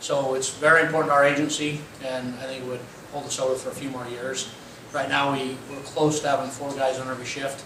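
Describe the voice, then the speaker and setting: Amid noticeable background noise and audible room echo, a man with a fairly high pitch talks at a very fast pace in monotone, flat intonation. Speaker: police chief. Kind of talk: public forum update. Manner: loud.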